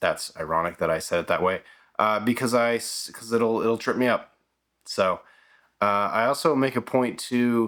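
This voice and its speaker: A man mumbles at a moderate pace and medium pitch, with ordinary pitch variation. The recording is very clean, with a silent background. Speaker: filmmaker YouTuber. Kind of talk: casual vlog monologue. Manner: mumbly, mispronounces words; halting, many fillers and restarts.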